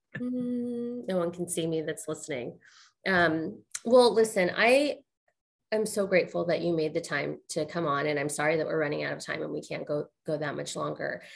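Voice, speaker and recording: A woman with vocal fry speaks at a moderate pace using lively intonation. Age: 40s. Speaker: podcast host. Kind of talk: casual interview.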